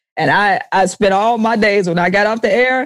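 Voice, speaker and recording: A woman with a Southern US accent. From US South, Jackson, Mississippi. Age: young. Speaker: comedian and musician, military veteran. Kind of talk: casual interview chat. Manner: animated, laughs often.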